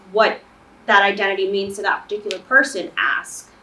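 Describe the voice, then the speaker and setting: A woman at medium pitch and a fairly quick pace, amid noticeable background noise. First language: not English. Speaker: student panelist. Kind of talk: panel discussion.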